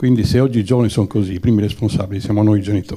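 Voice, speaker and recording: Somewhat breathy and dark, mellow in tone, a man speaks at a fairly low pitch with fairly even intonation. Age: 70s. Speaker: audience member at screening Q&A. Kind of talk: audience question at film discussion. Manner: halting, many repetitions.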